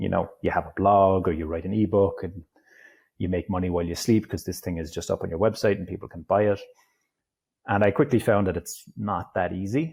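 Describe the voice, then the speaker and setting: On a very clean recording with a silent background, a man speaks with an Irish accent. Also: fairly low pitch for a man, ordinary pitch variation, fairly quick pace. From Ireland. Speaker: digital nomad, online entrepreneur. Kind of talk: interview conversation.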